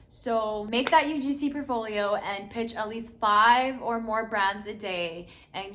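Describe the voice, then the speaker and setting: With an animated tone, a woman speaks with hardly any pauses in a fairly high, bright, sharp voice with ordinary pitch variation, and there is audible room echo. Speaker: lifestyle YouTuber and content creator. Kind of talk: casual vlog talk to camera. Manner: fast.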